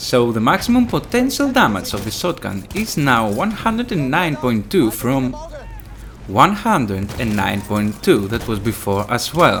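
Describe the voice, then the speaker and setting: Speaking with a Greek accent, a man with a medium pitch uses very wide pitch swings over noticeable background noise. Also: fairly slow pace. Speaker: gaming youtuber. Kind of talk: tutorial.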